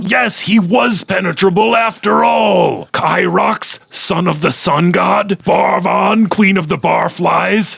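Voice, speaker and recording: A put-on character voice speaks at a fairly slow pace. The loudness stays very even. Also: man, high pitch for a man. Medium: audio drama. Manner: rambling, fretful.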